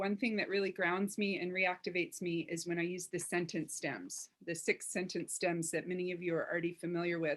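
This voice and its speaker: Here is a woman with an unremarkable speaking voice and a medium pitch. She talks at a fairly quick pace with fairly even intonation. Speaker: workshop facilitator. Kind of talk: online workshop.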